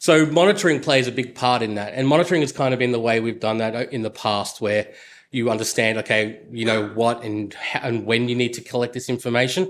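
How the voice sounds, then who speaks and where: With an Australian accent, a man talks using ordinary pitch variation. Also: medium pitch for a man, fairly quick pace. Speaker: software engineer. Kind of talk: conference talk. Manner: many fillers (uh, um).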